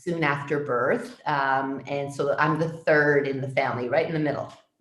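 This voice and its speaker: In a Canadian accent, a woman talks with a very deep, low pitch and fairly even intonation, with audible room echo. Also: moderate pace. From Toronto, Canada. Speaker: public health physician. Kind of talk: interview answers. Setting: video call from home.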